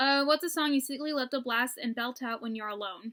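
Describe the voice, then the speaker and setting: A woman speaks fairly quickly in a raised, projected voice, high-pitched with a bright, sharp tone and ordinary pitch variation. The recording is very clean and dry, close with no echo over a silent background. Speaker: YouTuber. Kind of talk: casual vlog chat. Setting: at home. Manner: casual, filler-heavy.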